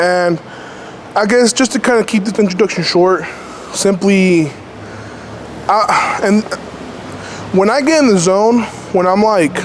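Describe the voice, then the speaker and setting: Over noticeable background noise, a man with a high pitch talks at a fairly slow pace with long, frequent pauses, ordinary pitch variation and very even loudness. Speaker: powerlifter vlogger. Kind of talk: casual vlog monologue.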